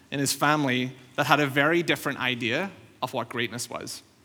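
A man's fairly high, bright, sharp voice with a Northern Irish accent and ordinary pitch variation. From Northern Ireland. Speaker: pastor. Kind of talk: sermon. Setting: church.

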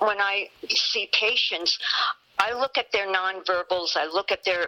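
A woman with an American accent talks at a fairly slow pace, the sound dry and close with no echo but with noticeable background noise. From Yonkers, New York. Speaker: nurse practitioner. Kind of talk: interview. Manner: halting.

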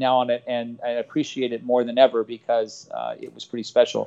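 The pace is moderate. The speaker has an American accent. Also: man. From Los Angeles, San Fernando Valley. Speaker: softball coach. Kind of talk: interview.

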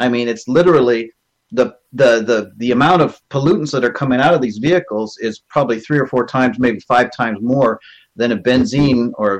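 Speaking at a fairly quick pace, a man has a normal speaking voice, medium pitch, and ordinary pitch variation. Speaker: caller. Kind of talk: casual group discussion. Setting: video call.

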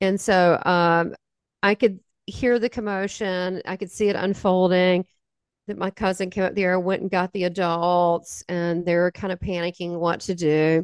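In a Southern US accent, the speaker talks at a moderate pace in a flat monotone, with a dry, close sound, no echo and a quiet background. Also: woman, medium pitch for a woman. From US South. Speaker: spiritual medium. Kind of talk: interview testimony.

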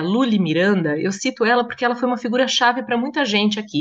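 A woman's very fast speech with lively intonation. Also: quiet background. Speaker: translator and journalist. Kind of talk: casual interview chat.

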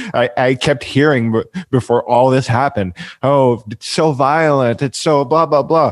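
Speaking at a moderate pace, a man has an unremarkable speaking voice and ordinary pitch variation. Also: medium pitch for a man. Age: 20s. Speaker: podcast host. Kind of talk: casual chat; scripted outro. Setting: video call.

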